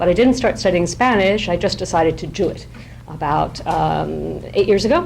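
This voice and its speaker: The speech moves at a moderate pace. Noticeable background noise and audible room echo fill the recording. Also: woman. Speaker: professor and poet. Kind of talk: informal lecture. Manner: many fillers and restarts.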